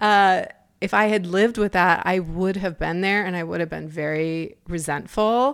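A woman speaks in an ordinary speaking voice at a medium pitch, with ordinary pitch variation and a moderate pace. The recording is very clean, with a silent background. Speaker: podcast host and life coach. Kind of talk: solo podcast monologue. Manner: casual with frequent laughter.

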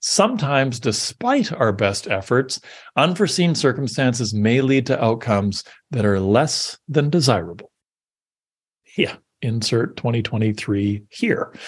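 A man with a medium pitch, somewhat breathy and fairly slow, with lively intonation over a quiet background. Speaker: podcast host. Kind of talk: reading aloud an AI-written pep talk, with ad-libbed asides. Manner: earnest, rallying podium delivery; dry, wry asides between lines.

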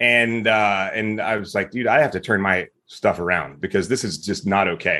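A man speaks with an American accent at a fairly low pitch. His tone is bright and sharp against a quiet background. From US South, Mississippi. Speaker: retired military veteran, business founder. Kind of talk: casual interview.

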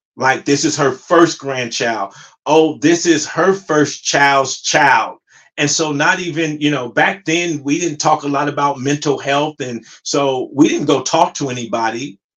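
Using a normal speaking voice, a man with an American accent talks fairly slowly at a fairly high pitch, with ordinary pitch variation and a quiet background. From US West Coast, Compton, California. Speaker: podcast host and motivational coach. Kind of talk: solo monologue podcast.

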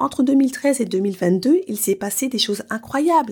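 Her intonation is lively and her voice somewhat breathy as this woman speaks. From France, Paris. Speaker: podcast host and life coach. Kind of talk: solo podcast monologue.

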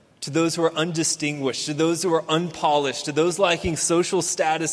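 A man speaks with an American accent. Audible room echo is present. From Houston, Texas. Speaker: pastor. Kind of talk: sermon.

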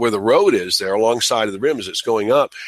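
In a Midwestern American accent, a man speaks with a dry, close sound and no echo. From US Midwest, Michigan. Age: 50s. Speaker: amateur evolution educator. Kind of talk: interview. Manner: halting, many fillers.

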